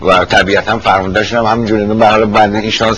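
The voice moves at a fairly quick pace with monotone, flat intonation over noticeable background noise. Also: man. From Iran, Tehran. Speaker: retired army officer. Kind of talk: oral history interview. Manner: halting.

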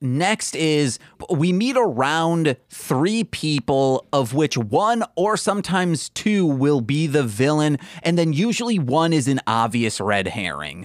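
A man with an American accent and fairly high pitch speaks at a fairly slow pace, his pitch swinging very widely, in a dry, close sound with no echo. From US Midwest, Michigan. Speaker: podcast host. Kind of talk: casual chat.

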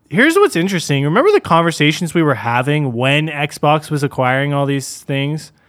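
A man with an ordinary speaking voice talks at a moderate pace, his fairly high pitch held in fairly even intonation. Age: 20s. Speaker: gaming podcast host. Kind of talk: casual chat.

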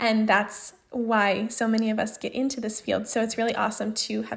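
A woman's somewhat breathy voice, fairly high in pitch, at a moderate pace. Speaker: podcast host and speech-language pathology grad student. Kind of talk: solo podcast monologue. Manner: casual, with frequent fillers.

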